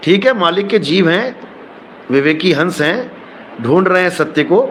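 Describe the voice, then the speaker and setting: A man with a high pitch talks at a fairly slow pace, his intonation lively and his loudness very even. Background noise is noticeable. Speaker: spiritual preacher. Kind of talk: casual talk to viewers.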